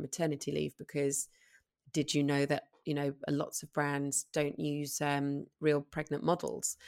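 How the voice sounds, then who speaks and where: In a London accent, a woman with a very deep, low pitch speaks at a moderate pace in a flat monotone, recorded very cleanly against a silent background with a dry, close sound and no echo. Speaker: model and parenting blogger. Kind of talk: casual interview chat.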